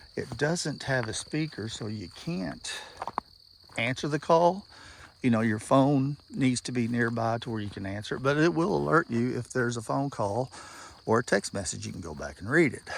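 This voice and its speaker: With noticeable background noise, a medium-pitched man speaks at a moderate pace, his pitch swinging very widely and his loudness rising and falling a lot. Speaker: product reviewer. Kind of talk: outdoor vlog tutorial. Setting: outdoors in the woods. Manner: halting.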